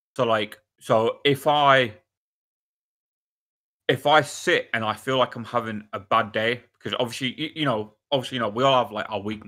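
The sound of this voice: Here a man with a bright, sharp tone speaks at a medium pitch and a moderate pace with ordinary pitch variation.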